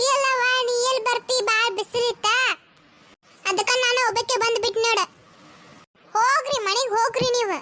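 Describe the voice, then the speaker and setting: A woman's cartoonish character voice at an extremely high pitch, fairly slow, with fairly even intonation. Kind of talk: comic village cartoon voicing.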